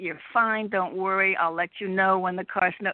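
With an American accent, a woman talks at medium pitch. She has a plain, everyday voice and fairly even intonation. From Connecticut. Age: 60s. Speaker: caller. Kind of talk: casual chat. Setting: phone call.

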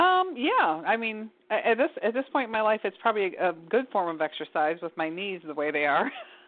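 Over noticeable background noise, a woman with an American accent talks at a fairly quick pace in a fairly high pitch, with very wide pitch swings and hardly any pauses. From Michigan. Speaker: caller. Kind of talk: phone-in question.

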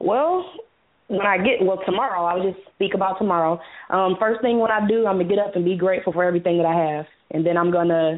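A woman keeps ordinary pitch variation while talking at a moderate pace. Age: 20s. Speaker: caller. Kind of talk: phone-in comment.

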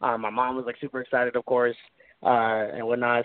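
A man with an American accent. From Florida. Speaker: independent musician. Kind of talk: radio interview. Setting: phone call. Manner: melodic.

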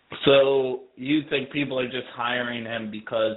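This is a man with an unremarkable speaking voice. He talks at medium pitch and a moderate pace. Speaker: podcast co-host. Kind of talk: casual chat. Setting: phone call.

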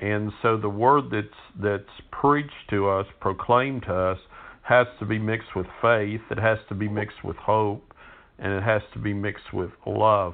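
A man speaks at a fairly slow pace. His voice sits fairly low, with fairly even intonation. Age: 60s. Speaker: pastor. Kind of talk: sermon. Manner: hesitant, with frequent fillers and repeats.

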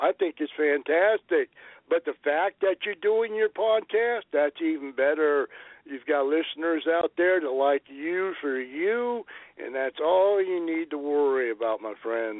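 The man has a normal speaking voice with lively intonation and talks at a fairly slow pace. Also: fairly high pitch for a man. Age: 60s. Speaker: podcaster and friend of host. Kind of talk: casual interview.

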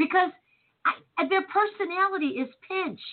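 A woman speaks with lively intonation. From US Midwest, Chicago. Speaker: talk radio host. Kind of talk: casual chat.

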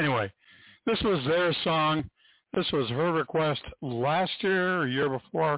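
A man speaks at a fairly slow pace with a fairly high pitch. His pitch varies in an ordinary way.

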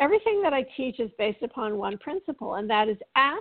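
A normal speaking voice moves at a fairly quick pace with lively intonation. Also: woman. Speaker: spiritual teacher and author. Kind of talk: interview with spiritual instruction.

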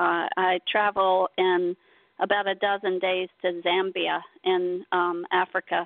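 With an American accent, a woman talks at a fairly slow pace in a monotone, flat intonation. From North Carolina. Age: 50s. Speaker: artist. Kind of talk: interview. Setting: radio show.

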